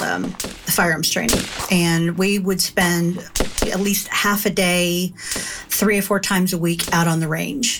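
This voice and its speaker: A woman with an American accent at a medium pitch, fairly slow and fairly even in intonation, over noticeable background noise. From Kentucky, US. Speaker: former FBI agent. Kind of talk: interview testimony.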